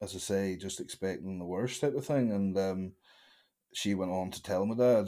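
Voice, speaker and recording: A man with a Northern Irish accent, fairly low pitch, fairly even intonation and a moderate pace. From Northern Ireland, County Antrim (Larne). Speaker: strongman athlete and gym owner. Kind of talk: interview. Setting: remote call.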